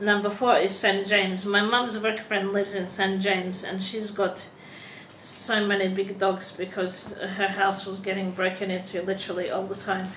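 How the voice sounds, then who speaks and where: Amid noticeable background noise and audible room echo, a woman speaks at a medium pitch with a non-native accent. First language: not English. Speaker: vlogger. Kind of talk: vlog, reading from a prepared script. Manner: halting, self-correcting.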